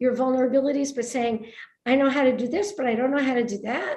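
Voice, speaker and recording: An American accent comes through as a woman speaks at a high pitch. Audible room echo surrounds her voice. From New York, Brooklyn. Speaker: author. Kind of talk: conversational book talk. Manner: animated.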